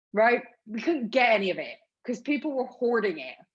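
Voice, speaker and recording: A woman with a Bristol accent talks at a fairly quick pace with lively intonation. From England, Bristol. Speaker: panel speaker. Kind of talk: panel talk. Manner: passionate, emphatic.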